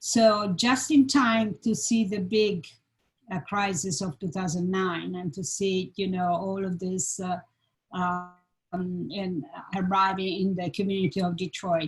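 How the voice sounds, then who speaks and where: A woman with a strong Italian accent speaks at a fairly slow pace. Her voice is somewhat breathy. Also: medium pitch for a woman, ordinary pitch variation. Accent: Italian accent, heavy. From Italy, Florence. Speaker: design professor, panel moderator. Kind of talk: panel discussion. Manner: halting.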